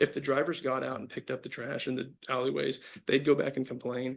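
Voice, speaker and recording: Vocal fry runs through this man's speech. He talks at a fairly quick pace with fairly even intonation. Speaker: lawyer arguing for appellant. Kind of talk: appellate oral argument. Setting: courtroom. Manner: halting, many restarts.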